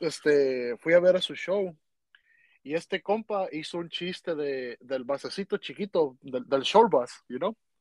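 A dry, close sound with no echo, carrying lively intonation. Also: man, high pitch for a man, fairly slow pace, quiet background. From Mexico. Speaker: podcast host. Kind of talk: casual interview.

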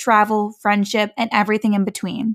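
An unremarkable speaking voice at a fairly quick pace, very clean recording with a silent background, dry and close with no echo. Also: woman. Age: 20s. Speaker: podcast host. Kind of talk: casual chat.

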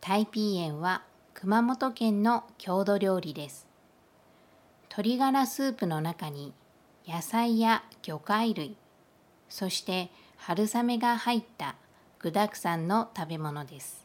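Lively intonation from a medium-pitched woman, very slow with long, frequent pauses and big swings in loudness. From Kyushu, Japan. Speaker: Japanese language teacher. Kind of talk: language lesson monologue. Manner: slow, clear.

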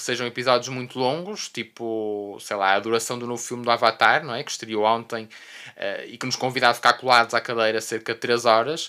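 A man with a medium pitch and a bright, sharp tone speaks with hardly any pauses. His intonation is fairly even while his loudness swings widely. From Portugal, Porto. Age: 30s. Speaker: podcast host, veterinarian. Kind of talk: solo monologue. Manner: hesitant, many fillers and repetitions.

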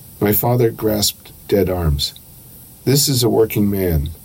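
Noticeable background noise runs under a man speaking with ordinary pitch variation. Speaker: poet and professor. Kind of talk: poem reading, then interview answers. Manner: measured, deliberate, reflective.

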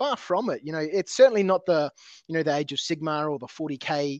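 With an Australian accent, a man speaks at a moderate pace and a fairly high pitch. The sound is dry and close with no echo, over a quiet background. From Australia (Adelaide). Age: 40s. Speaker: tabletop terrain business owner. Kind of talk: casual interview chat. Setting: remote call. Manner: halting, many fillers.

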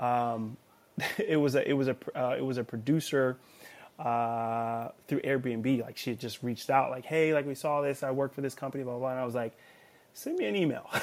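Here a man talks at a fairly quick pace in a Californian accent. His pitch is medium and his intonation fairly even. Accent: Californian American. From Los Angeles, California. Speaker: vacation rental host and music producer. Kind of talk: casual interview chat.

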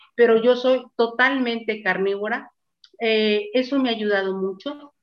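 A woman speaks in a normal speaking voice with fairly high pitch. Her intonation is fairly even. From Mexico. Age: 60s. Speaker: interviewee sharing health testimony. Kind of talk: testimony.

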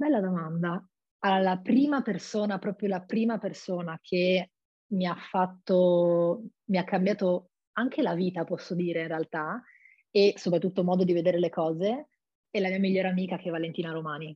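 At a moderate pace, a woman of medium pitch speaks in an unremarkable speaking voice with ordinary pitch variation. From Friuli-Venezia Giulia, Italy (Monfalcone). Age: 20s. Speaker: actress. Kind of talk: interview.

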